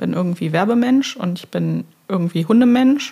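This woman's voice has a dark, mellow tone and is somewhat breathy. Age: 30s. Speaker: podcast co-host. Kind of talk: casual chat.

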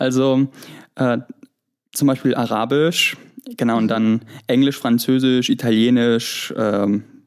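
The speaker has a Greek accent and fairly even intonation. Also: man. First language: Greek (speaking German). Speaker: university student. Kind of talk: interview. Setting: app call from holiday home in Greece.

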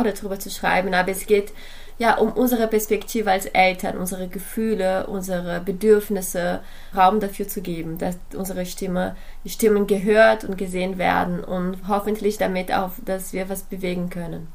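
Through audible room echo and noticeable background noise, a woman speaks at a medium pitch with monotone, flat intonation. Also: moderate pace. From Brazil. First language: Portuguese (speaking German). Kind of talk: podcast interview.

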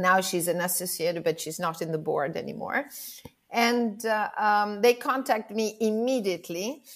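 With lively intonation and an Italian accent, the speaker goes at a moderate pace on a very clean recording with a silent background. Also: woman, medium pitch for a woman. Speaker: professional organizer. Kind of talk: interview.

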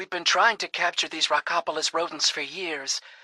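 In a plain, everyday voice, a woman with a fairly low pitch talks at a fairly quick pace, recorded dry and close with no echo. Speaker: voice actor. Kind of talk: dramatic narration, comic radio-serial adventure parody. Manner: bold, sassy, action-hero tone.

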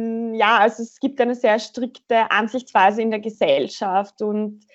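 Her pace very slow, a woman speaks with a fairly high pitch and fairly even intonation. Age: 20s. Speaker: web development bootcamp student, career changer. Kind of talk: interview conversation.

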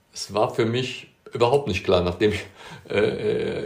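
Amid noticeable background noise, a man talks at a medium pitch. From Bonn, Rhineland, Germany. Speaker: plumbing and heating business owner. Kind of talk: interview. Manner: hesitant, many fillers and repetitions.

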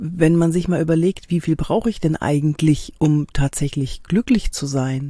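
Speaking at a fairly slow pace, a woman has a fairly low, dark, mellow voice that is somewhat breathy. The sound is dry and close with no echo. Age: 50s. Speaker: body language trainer and actress. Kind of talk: podcast monologue rant. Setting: in a camper van.

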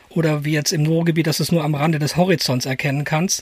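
A man's fairly high-pitched voice, an unremarkable speaking voice, at a moderate pace. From Germany, edge of the Ruhr area. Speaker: podcast co-host, photographer. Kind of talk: casual chat.

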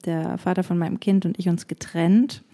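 A dark, mellow tone with fairly even intonation, on a very clean recording with a silent background. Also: woman. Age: 30s. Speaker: podcast co-host and singer. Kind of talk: casual chat.

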